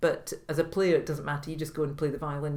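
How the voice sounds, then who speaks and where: A woman with a Scottish accent speaks at a very fast pace. Her voice is very deep and low in pitch, and somewhat breathy. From Scotland. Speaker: retired orchestra manager and violinist. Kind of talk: interview answer.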